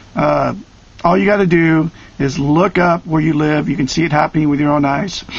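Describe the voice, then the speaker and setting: A man's fairly high voice at very even loudness, with noticeable background noise. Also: moderate pace. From Oregon. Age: 50s. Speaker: online video commentator. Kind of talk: direct-to-camera rant. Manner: animated.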